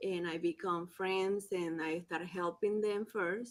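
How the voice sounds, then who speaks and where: A woman speaks with a Spanish accent and a fairly low pitch. The recording is very clean, with a silent background. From Colombia. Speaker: immigration forms preparer. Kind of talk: panel discussion.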